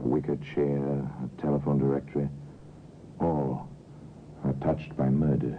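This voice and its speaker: With noticeable background noise behind him, a man with a very deep, low pitch talks at a moderate pace in a monotone, flat intonation, with long, frequent pauses and very even loudness. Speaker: radio narrator. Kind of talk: old-time radio drama narration.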